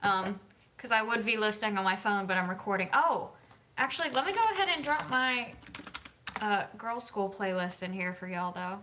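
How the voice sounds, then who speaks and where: A woman in an American accent talks at a fairly quick pace and medium pitch with ordinary variation, with audible room echo and noticeable background noise. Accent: Southern US, mild, stronger after drinks. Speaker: author and YouTuber. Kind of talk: casual livestream chat.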